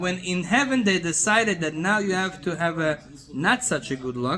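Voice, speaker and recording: A man with a high pitch speaks fairly slowly, his tone animated and his intonation lively. Noticeable background noise is present. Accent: non-native. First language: not English. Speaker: rabbi teaching Torah class. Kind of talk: Torah lecture to a small group. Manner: animated, with repeated filler words.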